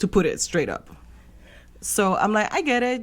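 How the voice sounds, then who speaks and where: Recorded very cleanly against a silent background, a woman with a Spanish accent speaks at a fairly quick pace with ordinary pitch variation. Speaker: podcast co-host. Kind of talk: casual chat.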